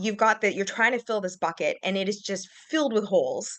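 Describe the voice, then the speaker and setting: A woman with a Canadian accent uses a fairly high pitch and ordinary pitch variation at a moderate pace. She has a normal speaking voice. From Canada. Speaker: massage therapist. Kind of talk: casual interview.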